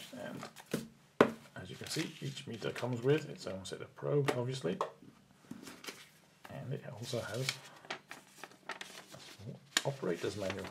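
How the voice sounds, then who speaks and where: Lively intonation runs through speech at a fairly slow pace, broken by long, frequent pauses. Background noise is noticeable. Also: man, medium pitch for a man. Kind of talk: product teardown talk to camera.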